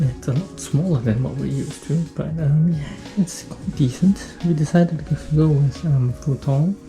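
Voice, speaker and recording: A woman whispering at a moderate pace over background music. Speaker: vlogger. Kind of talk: house tour vlog. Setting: at home, indoors. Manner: hesitant, many fillers.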